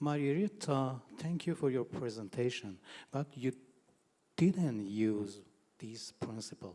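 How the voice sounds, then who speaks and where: The delivery is fairly slow, with long, frequent pauses. Intonation is lively and the tone dark and mellow. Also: man, medium pitch for a man. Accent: Persian. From Iran. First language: Persian. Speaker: translation teacher. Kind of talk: audience question.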